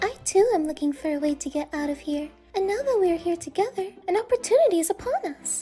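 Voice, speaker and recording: A woman does a put-on character voice at an extremely high pitch and a fairly quick pace, with faint music in the background. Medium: solo performance. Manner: polite, composed.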